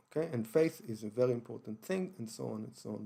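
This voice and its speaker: A man speaks in an Israeli accent. His voice is dark and mellow, medium in pitch. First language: Hebrew. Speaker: online broadcaster on religion and history. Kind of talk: lecture-style monologue broadcast. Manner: halting, many fillers and restarts.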